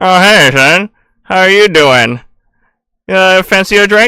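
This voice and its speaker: Someone puts on a character voice at a middle pitch. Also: fairly slow pace. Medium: actual play. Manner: folksy, friendly.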